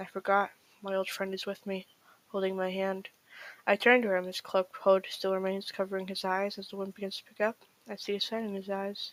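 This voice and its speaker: The sound is dry and close with no echo as a woman speaks at a fairly quick pace. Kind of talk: creepypasta story reading.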